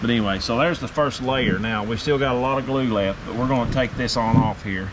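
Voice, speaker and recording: Amid noticeable background noise and audible room echo, a man with a medium-pitched voice speaks at a very fast pace. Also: ordinary pitch variation. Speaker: DIY video maker. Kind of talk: tutorial. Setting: metal building workshop. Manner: loud.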